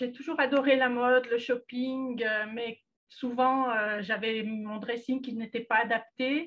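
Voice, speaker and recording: Her high voice held in fairly even intonation, a woman speaks at a very slow pace. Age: 60s. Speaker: client giving testimonial, retired secretary. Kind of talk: testimony. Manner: halting, frequent hesitations.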